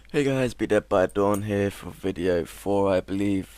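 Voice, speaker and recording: This man has a fairly low pitch. He talks at a fairly slow pace. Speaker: gaming video creator. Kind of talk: tutorial; casual chat. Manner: monotone.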